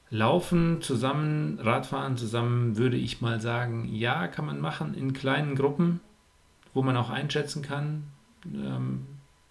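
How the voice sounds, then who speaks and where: A man's voice over noticeable background noise. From Germany. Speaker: triathlon coach and podcast host. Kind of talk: podcast monologue with advice. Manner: casual, frequent filler sounds.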